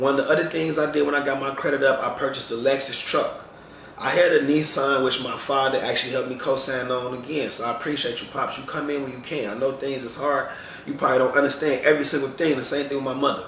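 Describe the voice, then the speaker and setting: Amid noticeable background noise and audible room echo, a man with a fairly high pitch talks at a very fast pace in a monotone, flat intonation. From Chicago, US Midwest. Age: 30s. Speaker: barber and vlogger. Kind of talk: casual vlog monologue. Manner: rambling, conversational.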